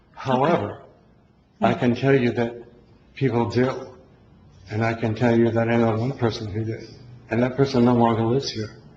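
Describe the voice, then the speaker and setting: With audible room echo, a man at medium pitch speaks somewhat breathily at a moderate pace in a flat monotone, leaving long, frequent pauses. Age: 60s. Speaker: resident speaking at public comment. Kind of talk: public comment at town hall. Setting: town hall meeting.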